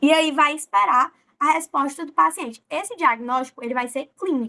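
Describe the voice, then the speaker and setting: The voice has a bright, sharp tone and very wide pitch swings. It moves at a fairly slow pace. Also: woman. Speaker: medical student presenting a class. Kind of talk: lecture.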